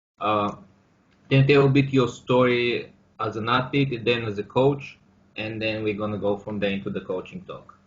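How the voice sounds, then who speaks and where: With a Bulgarian accent, a man talks at a moderate pace at a medium pitch and with ordinary pitch variation. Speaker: podcast host. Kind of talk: interview. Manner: halting.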